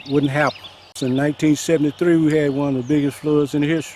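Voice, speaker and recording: Noticeable background noise sits behind a man with a Mississippi accent and a fairly high pitch. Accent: US Southern (Mississippi). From Mississippi Delta. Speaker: flood-affected resident. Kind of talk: news interview.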